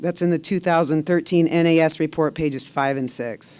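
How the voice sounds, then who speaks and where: On a very clean recording with a silent background, the speaker talks at a fairly quick pace. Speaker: public commenter. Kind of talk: public comment statement. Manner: fast.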